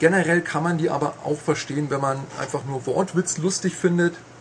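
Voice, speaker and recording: A man with a fairly high pitch talks at a moderate pace with fairly even intonation over noticeable background noise. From Bavarian Swabia (Augsburg). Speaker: video game journalist. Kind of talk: casual chat. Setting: studio.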